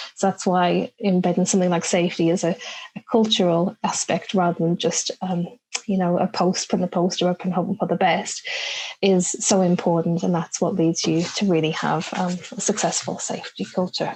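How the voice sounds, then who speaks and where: A woman speaks at a moderate pace with a medium pitch. Her voice is somewhat breathy, and her intonation is monotone and flat. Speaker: communications consultant. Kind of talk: technical talk to a professional audience. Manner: hesitant, with many fillers.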